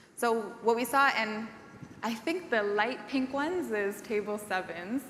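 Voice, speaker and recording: The voice shows ordinary pitch variation. There is audible room echo along with noticeable background noise. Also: woman. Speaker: event emcee. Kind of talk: conference presentation. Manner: loud.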